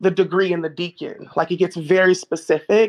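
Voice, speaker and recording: A woman's fairly low-pitched voice, fairly even in intonation, against a quiet background. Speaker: online community participant. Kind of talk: casual discussion. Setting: online voice call. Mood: calm, explanatory. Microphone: video call.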